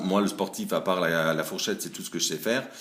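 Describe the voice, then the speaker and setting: A man with a very deep, low pitch and ordinary pitch variation. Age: 40s. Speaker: salesman. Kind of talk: casting video.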